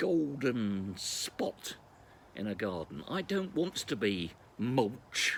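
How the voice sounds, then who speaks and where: The man's pitch rises and falls very widely. Vocal fry runs through his voice. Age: 60s. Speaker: former local radio broadcaster. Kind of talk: personal video reflection. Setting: outdoors.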